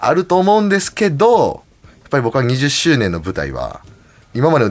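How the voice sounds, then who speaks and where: Pitch swings very widely in this man's speech. His delivery moves at a moderate pace. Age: 40s. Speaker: professional wrestler. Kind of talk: casual chat.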